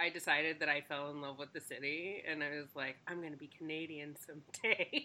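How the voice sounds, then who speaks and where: A woman with an American accent speaks in a very deep, low pitch with monotone, flat intonation. Her pace is fairly quick, with hardly any pauses. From Texas, later Ohio. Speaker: professor and podcast host. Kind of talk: casual chat.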